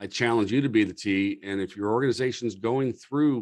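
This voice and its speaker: Against a quiet background, a man speaks in a plain, everyday voice of medium pitch with ordinary pitch variation. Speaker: fire service leadership presenter. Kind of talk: lecture. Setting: video call.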